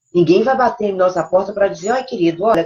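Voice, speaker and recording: This woman's speech races at a very fast pace, pitched medium and varying in an ordinary way. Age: 60s. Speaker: live show co-host. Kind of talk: live stream talk.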